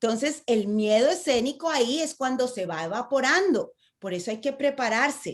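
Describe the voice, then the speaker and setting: Against a quiet background, a woman speaks at a moderate pace in a high pitch, with an animated tone and lively intonation. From Latin America. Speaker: public speaking coach. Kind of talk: online conference talk. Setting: video call.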